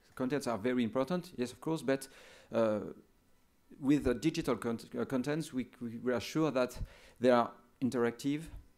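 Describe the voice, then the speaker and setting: A man with a French accent speaks at a moderate pace, with long, frequent pauses and big swings in loudness. The recording is very clean, with a silent background. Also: medium pitch for a man, ordinary pitch variation. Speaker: education official. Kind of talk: conference talk. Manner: halting.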